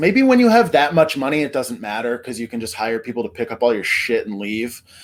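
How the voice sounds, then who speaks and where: A man's pitch swings very widely as noticeable background noise continues around him. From Vermont. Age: 30s. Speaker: YouTube commentary host. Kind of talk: casual commentary monologue. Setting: talking to camera.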